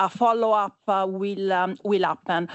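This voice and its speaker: A woman speaks at a fairly slow pace. Her intonation stays monotone and flat. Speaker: panel moderator, deep tech investor. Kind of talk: panel moderation at conference. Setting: conference stage with audience. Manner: halting, many fillers.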